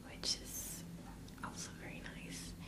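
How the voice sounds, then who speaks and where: Against noticeable background noise, a woman whispers. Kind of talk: ASMR librarian roleplay. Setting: microphone recording at home. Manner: whispered, soft-spoken.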